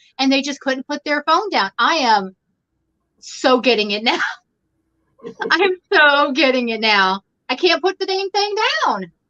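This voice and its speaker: A woman's high, raised, projected voice in a bright, sharp tone, very wide pitch swings, fairly slow pace, long and frequent pauses. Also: dry, close sound with no echo. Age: 50s. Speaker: crochet YouTuber. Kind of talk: casual chat. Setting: live stream.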